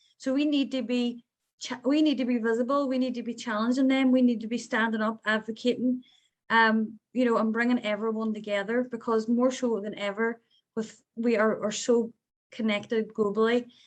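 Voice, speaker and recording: A woman's fairly high voice in a Northern Irish accent, monotone and flat, at a moderate pace. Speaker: peace activist. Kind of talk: panel discussion.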